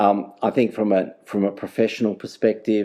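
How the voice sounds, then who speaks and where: With an Australian accent, a man speaks in a fairly low pitch and a dark, mellow tone. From South Australia, Adelaide. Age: 60s. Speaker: data governance manager. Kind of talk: podcast interview. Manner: halting, repetitive.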